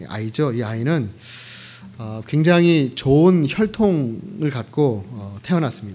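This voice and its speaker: Very slow speech from a man at medium pitch, with very wide pitch swings and audible room echo. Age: 50s. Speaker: pastor. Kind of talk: sermon. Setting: church.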